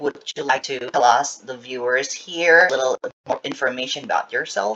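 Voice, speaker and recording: A man with an Indonesian accent speaks at a fairly high pitch with fairly even intonation. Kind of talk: interview.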